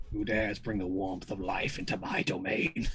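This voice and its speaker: A man uses a put-on character voice with a very deep, low pitch. He speaks at a moderate pace over clear background noise. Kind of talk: grand, archaic. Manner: imperious, commanding.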